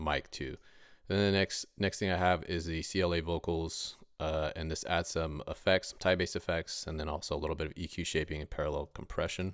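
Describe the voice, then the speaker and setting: The man's very deep, low voice moves at a fairly quick pace in monotone, flat intonation, with a dry sound with no echo and a quiet background. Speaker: rapper and mixing tutorial maker; mixing tutorial maker. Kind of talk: tutorial.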